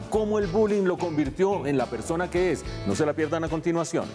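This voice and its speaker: With music in the background, a man speaks at a high pitch with ordinary variation. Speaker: economics TV show host. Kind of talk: TV interview questions.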